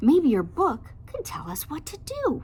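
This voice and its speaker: A woman uses a put-on character voice, squeaky and extremely high in pitch. She talks at a fairly slow pace. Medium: read story. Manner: soft, meek.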